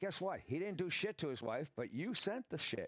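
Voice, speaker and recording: The man sounds animated, and his intonation is lively. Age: 60s. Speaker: podcaster and gamer. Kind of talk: live stream commentary. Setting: live stream on camera. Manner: fast.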